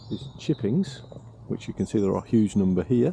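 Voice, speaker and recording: A quiet man's voice, fairly low in pitch, with a British accent and a fairly quick pace. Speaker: vanlife vlogger, campsite caretaker. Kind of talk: casual vlog narration. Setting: outdoors. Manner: hesitant, many fillers.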